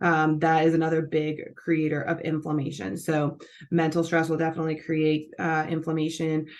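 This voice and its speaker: Flat and monotone, a woman's very deep, low voice holds a moderate pace and very even loudness. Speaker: nutrition and health educator. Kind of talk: educational talk. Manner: casual with many fillers.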